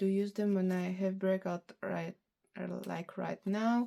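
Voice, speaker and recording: In a Bulgarian accent, the speaker's dark, mellow tone comes through at a very slow pace. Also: woman. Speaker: beauty vlogger. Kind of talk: casual product review vlog. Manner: halting, with fillers.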